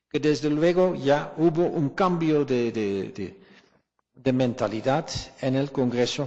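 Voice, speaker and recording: Speaking at a fairly slow pace, a man with a non-native accent uses a medium pitch and ordinary pitch variation. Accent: foreign accent in Spanish. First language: not Spanish (speaking Spanish). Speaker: historian. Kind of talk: academic colloquium Q&A answer. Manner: halting, repeats words.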